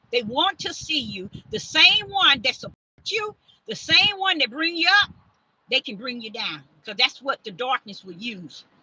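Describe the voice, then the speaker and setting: A woman's high, raised, projected voice at a fairly slow pace, with very wide pitch swings and big swings in loudness, in a dry, close sound with no echo. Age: 60s. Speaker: self-styled prophetess and preacher. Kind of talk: sermon. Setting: livestream. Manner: repetitive, stammering restarts.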